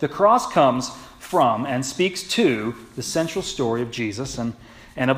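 A man's intonation is lively as he talks at a moderate speed. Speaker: pastor. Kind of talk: sermon. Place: church.

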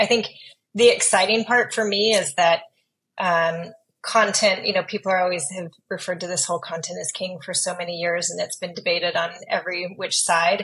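The speaker is a woman. She goes at a fairly quick pace, her intonation fairly even. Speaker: podcast guest. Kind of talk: interview answer. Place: home room. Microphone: earbuds.

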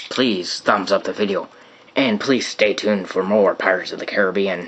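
Over light background noise, a man puts on a raspy, strained character voice at a fairly low pitch and a moderate pace. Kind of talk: casual review outro.

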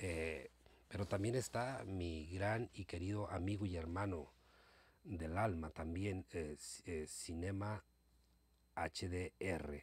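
A man with a very deep, low pitch and a somewhat breathy sound speaks at a very slow pace, with long, frequent pauses and ordinary pitch variation. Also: dry sound with no echo. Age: old. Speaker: YouTuber. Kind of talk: casual monologue to viewers. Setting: home recording late at night. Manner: hesitant, many fillers. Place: home room. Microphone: phone near.

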